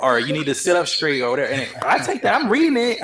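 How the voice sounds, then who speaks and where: With noticeable background noise behind him, a man speaks at a very fast pace in a high pitch. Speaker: dating show contestant. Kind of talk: reunion panel discussion. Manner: soft-spoken; halting.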